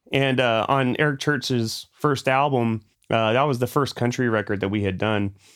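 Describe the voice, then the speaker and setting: In a normal speaking voice, a man talks at medium pitch with fairly even intonation and very even loudness. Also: moderate pace. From Alabama, US South; Air Force family, moved around the US. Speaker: audio engineer and producer. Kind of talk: casual interview.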